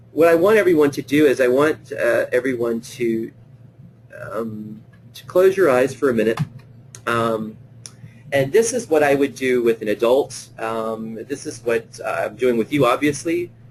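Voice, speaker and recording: There is noticeable background noise as a man talks at medium pitch. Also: ordinary pitch variation, moderate pace. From Louisiana. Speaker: play therapist presenting a webinar. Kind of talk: webinar lecture; guided visualization. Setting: online webinar. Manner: hesitant, many fillers.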